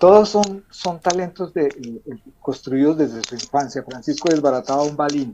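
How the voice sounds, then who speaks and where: A fairly high-pitched man with a dark, mellow tone, moderate pace and ordinary pitch variation. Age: 60s. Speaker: author. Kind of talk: interview. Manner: halting.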